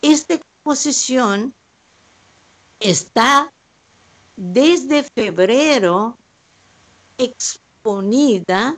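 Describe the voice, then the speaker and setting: With a Brazilian accent, a woman speaks at a fairly high pitch with lively intonation. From southern Brazil, Pelotas. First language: Portuguese (speaking Spanish). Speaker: painter. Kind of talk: panel discussion. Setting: remote call from home.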